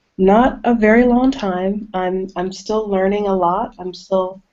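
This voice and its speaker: This is an ordinary speaking voice with an American accent. Its pitch varies in an ordinary way. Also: woman. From US South. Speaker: horror author. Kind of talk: casual interview. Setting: video call.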